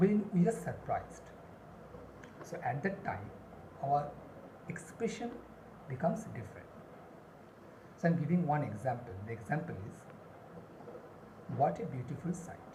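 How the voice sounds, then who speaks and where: Long, frequent pauses at a moderate pace against noticeable background noise. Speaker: spoken English teacher. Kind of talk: lesson to camera.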